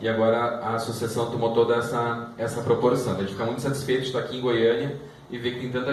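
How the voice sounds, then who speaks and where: Fairly quick speech in a southern Brazilian accent, with audible room echo and noticeable background noise. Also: man. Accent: southern Brazilian (gaúcho). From southern Brazil, Porto Alegre. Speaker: lawyer. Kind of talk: presentation to an audience. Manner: halting, with repetitions.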